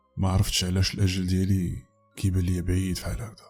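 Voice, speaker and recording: A man's fairly low-pitched voice at a moderate pace, with music in the background. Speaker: horror story narrator. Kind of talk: first-person story narration as a woman protagonist.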